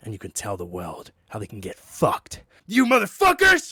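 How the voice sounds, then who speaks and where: A man puts on a character voice, delivering it at a moderate pace. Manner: aggressive, shouted, profane.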